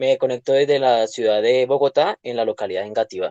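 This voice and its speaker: A man at a fairly quick pace, dry and close with no echo, over a quiet background. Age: 20s. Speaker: university student and driver. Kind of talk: class introduction in video session. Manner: hesitant, many fillers.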